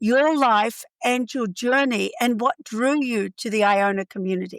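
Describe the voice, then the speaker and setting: A high-pitched woman's voice, dry and close with no echo, on a very clean recording with a silent background. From Australia. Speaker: podcast host. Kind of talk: podcast interview.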